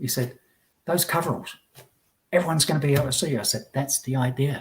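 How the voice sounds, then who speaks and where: A man talks at a very fast pace with a fairly high pitch. His voice is somewhat breathy, with ordinary pitch variation. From Essex, England. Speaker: tradesman, immigrant guest. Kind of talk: casual chat.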